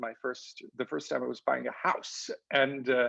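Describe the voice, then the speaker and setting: A man speaks with an Italian accent at a moderate pace. The background is quiet. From Italy. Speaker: professor. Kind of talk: interview. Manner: halting, many fillers and repeats.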